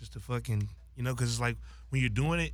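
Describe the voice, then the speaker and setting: In an American accent, a man with vocal fry talks at a very deep, low pitch that swings very widely. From Los Angeles, San Fernando Valley. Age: 20s. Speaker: social media influencer and rapper. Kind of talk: casual chat.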